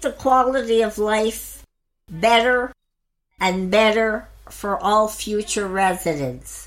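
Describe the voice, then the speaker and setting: The recording is very clean, with a silent background. A woman with a fairly high pitch talks at a very slow pace with ordinary pitch variation. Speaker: long term care resident. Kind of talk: interview. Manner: clear.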